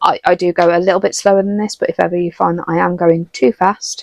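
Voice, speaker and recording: The speaker talks at a fairly quick pace in a British accent. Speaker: watercolour art teacher. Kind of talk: tutorial. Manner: fast.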